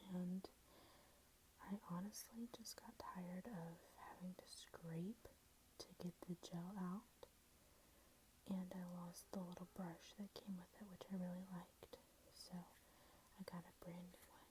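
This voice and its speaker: Soft-spoken and somewhat breathy, with a dark, mellow tone, the voice moves at a fairly slow pace in a flat monotone, with long, frequent pauses. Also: woman, medium pitch for a woman. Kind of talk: casual talk to camera. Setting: home, ASMR-style recording.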